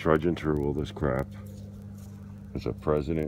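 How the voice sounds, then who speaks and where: A man with a very deep, low voice speaks at a moderate pace over noticeable background noise. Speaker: metal detecting hobbyist. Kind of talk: casual vlog narration. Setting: outdoors. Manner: excited, animated.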